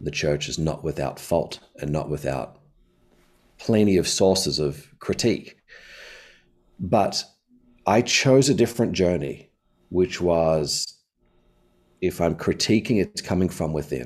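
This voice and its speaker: Very deep, low pitch from a man with vocal fry and lively intonation, at a fairly slow pace with long, frequent pauses. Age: 40s. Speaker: pastor. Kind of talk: casual chat. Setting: video call.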